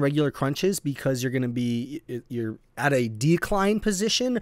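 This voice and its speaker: A man's voice at a moderate pace with very wide pitch swings, in a very clean recording with a silent background. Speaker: fitness youtuber. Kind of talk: tutorial. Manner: casual, hesitant with fillers.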